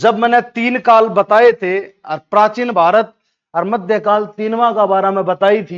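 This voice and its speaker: Using fairly even intonation, a man with a Haryana accent speaks at a high pitch. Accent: Haryanvi. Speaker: history teacher. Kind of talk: exam revision lecture. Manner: casual, storytelling.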